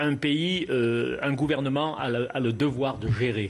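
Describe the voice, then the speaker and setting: A man's medium-pitched voice at a very slow pace, fairly even intonation, quiet background. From Lozère, southern France. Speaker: local representative. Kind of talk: TV panel debate.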